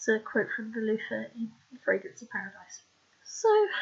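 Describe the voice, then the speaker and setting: The woman is soft-spoken. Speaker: author. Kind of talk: scripted narration of own research. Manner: quiet, soft-spoken.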